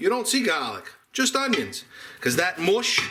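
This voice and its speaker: With noticeable background noise, a man speaks at a moderate pace with a Boston accent. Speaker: home cook. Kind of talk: casual cooking show talk to camera. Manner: chatty, humorous.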